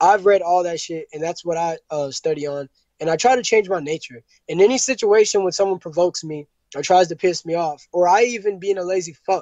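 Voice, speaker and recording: A man speaks at a fairly quick pace. His voice is high-pitched. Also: ordinary pitch variation. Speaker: rapper. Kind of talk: interview. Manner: fast.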